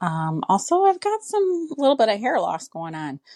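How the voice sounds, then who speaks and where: A woman speaks at a fairly slow pace in a Minnesotan accent. The recording is very clean, dry and close, with a silent background and no echo. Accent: Minnesota. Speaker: caller. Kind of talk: recorded voice message.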